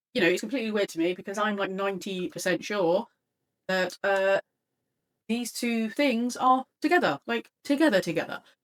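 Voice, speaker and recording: A woman with a British accent speaks at a moderate pace with lively intonation, the sound dry and close with no echo. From Britain. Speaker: artist and webcomic creator vlogger. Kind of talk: casual software tryout vlog. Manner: hesitant, many fillers.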